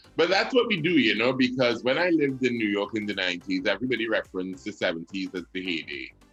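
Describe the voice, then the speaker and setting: A man racing at a very fast pace with hardly any pauses and very wide pitch swings, music in the background. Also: medium pitch for a man. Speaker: radio personality and announcer. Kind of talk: interview answer.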